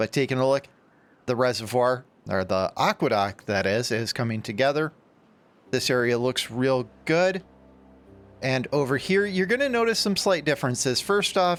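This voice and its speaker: With music in the background, a man at medium pitch talks at a moderate pace, his loudness very even, his pitch swinging very widely, and his pauses long and frequent. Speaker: gaming YouTuber. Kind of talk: casual let's play commentary.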